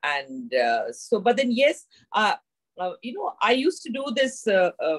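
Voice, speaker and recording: A woman's fairly high voice with vocal fry and very wide pitch swings, at a fairly slow pace, in a dry, close sound with no echo. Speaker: glaucoma patient advocate. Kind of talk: panel discussion. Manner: loud, energetic.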